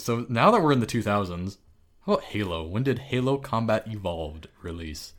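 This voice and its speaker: With a plain, everyday voice, a man talks at medium pitch and a fairly quick pace, using lively intonation. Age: 30s. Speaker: video game podcast co-host. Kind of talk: casual chat.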